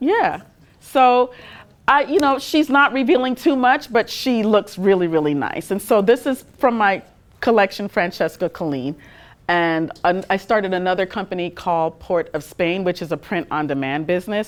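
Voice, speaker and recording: A woman speaks at a moderate pace in a slight Trinidadian accent, her pitch swinging very widely. The recording is very clean, with a silent background. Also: medium pitch for a woman. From Trinidad and Tobago. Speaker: fashion industry manager and designer. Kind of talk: guest talk and Q&A.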